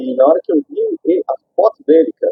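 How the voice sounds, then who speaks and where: A man is speaking. His pace is moderate. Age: 30s. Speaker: prosthetics clinic owner, amputee. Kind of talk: street interview testimony.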